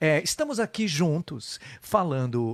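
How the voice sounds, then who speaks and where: This man speaks with a Brazilian accent at a moderate pace. His pitch swings very widely, and the sound is dry and close with no echo. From Brazil, São Paulo. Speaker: live show host. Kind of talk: casual interview. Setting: Facebook live stream.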